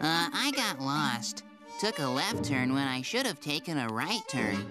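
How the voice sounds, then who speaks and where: With clear music in the background, a man does a cartoonish character voice at a fairly high pitch and a fairly slow pace. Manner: confused, slow on the uptake.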